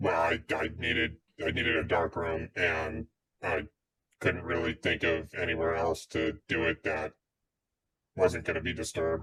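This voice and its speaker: A man speaks in a put-on character voice, very deep and low, with monotone, flat intonation. His pace is moderate, broken by long, frequent pauses. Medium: actual play. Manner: dry, deadpan.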